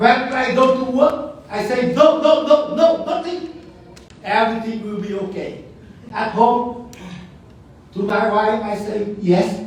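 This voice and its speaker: A man's high voice in a strong Vietnamese accent, fairly slow, with long, frequent pauses and lively intonation, amid noticeable background noise and audible room echo. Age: 80s+. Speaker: museum founder. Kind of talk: speech at event. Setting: auditorium with audience.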